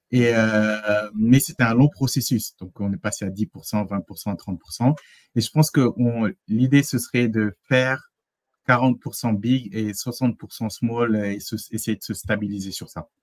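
A man at a very slow pace, with ordinary pitch variation and a quiet background. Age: 30s. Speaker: engineer and consultant; interview guest. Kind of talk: interview testimony. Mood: relaxed, smiling. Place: home room.

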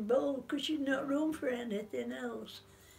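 Faint music plays behind a woman whose voice is high-pitched. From Sheffield. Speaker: war survivor. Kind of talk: interview answer. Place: home room. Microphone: phone near.

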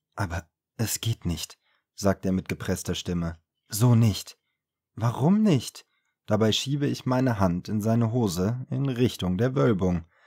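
A man's fairly low, dark, mellow voice in a calm tone, fairly slow with long, frequent pauses and lively intonation, over a quiet background. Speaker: audiobook narrator. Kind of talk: audiobook reading. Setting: home studio recording. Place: studio.

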